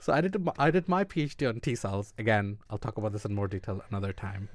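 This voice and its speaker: On a very clean recording with a silent background, a man with an Irish accent talks fairly quickly, his pitch swinging very widely. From Ireland. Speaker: immunologist, podcast co-host. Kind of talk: casual chat. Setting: studio.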